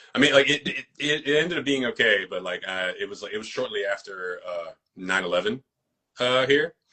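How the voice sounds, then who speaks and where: New York–accented male speech, fairly quick in pace. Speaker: actor and fight choreographer. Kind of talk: casual interview chat. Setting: social media live video.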